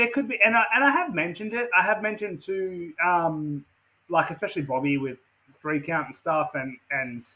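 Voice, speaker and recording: A man talks at a moderate pace in an Australian accent. His voice is high, with lively intonation. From Western Australia. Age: 30s. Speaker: professional wrestler. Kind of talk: casual interview chat. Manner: repetitive, filler-heavy.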